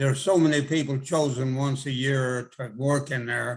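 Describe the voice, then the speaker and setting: A man talks at a fairly slow pace in a medium pitch with monotone, flat intonation. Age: 90s. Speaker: retired chiropractor. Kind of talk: interview. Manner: halting.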